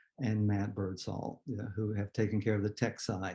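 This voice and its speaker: A man speaks with a dark, mellow tone at a medium pitch. His voice is somewhat breathy. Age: 60s. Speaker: event host and poet. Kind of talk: event introduction. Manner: casual, with fillers.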